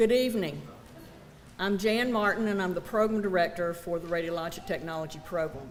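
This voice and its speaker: A woman with a Southern US accent, fairly low in pitch, talking at a fairly quick pace with ordinary pitch variation amid audible room echo. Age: 60s. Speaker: college program director. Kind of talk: ceremony speech.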